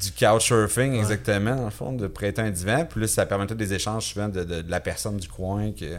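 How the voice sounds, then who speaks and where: In an ordinary speaking voice, a man talks at a fairly low pitch with ordinary pitch variation and hardly any pauses. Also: fairly quick pace. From Quebec, Victoriaville. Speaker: physical education teacher and survivor. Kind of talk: interview testimony. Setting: studio, in person.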